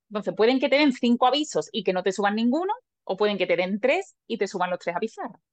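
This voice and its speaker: With very fast delivery and lively intonation, a woman is talking. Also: fairly high pitch for a woman. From Lepe, Huelva, Andalusia, Spain. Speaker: Olympic race walker. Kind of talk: interview. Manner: halting.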